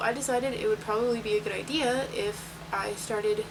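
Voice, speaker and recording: Her pitch is fairly high for a woman. Noticeable background noise and audible room echo surround her voice. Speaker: vlogger. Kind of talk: casual vlog. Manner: fast.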